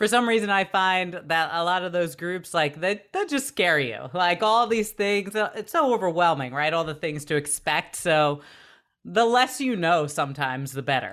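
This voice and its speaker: In a very clean recording with a silent background, a normal speaking voice moves at a moderate pace with lively intonation. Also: woman, fairly low pitch for a woman. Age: 30s. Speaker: former TV news journalist, health and wellness expert. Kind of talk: casual chat.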